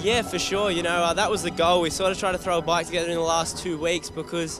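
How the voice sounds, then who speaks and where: Over noticeable background noise, a man with an Australian accent talks at a fairly quick pace in a high pitch. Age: 20s. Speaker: motorcycle racer. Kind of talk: interview.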